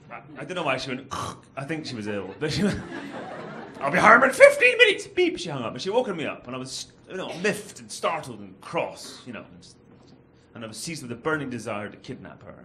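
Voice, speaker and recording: A man with a Glaswegian accent talks at a very fast pace, his pitch fairly high with very wide swings and big swings in loudness. Audible room echo and noticeable background noise surround him. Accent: posh Glaswegian. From Scotland, Glasgow. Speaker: comedian. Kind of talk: stand-up. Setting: stage with audience.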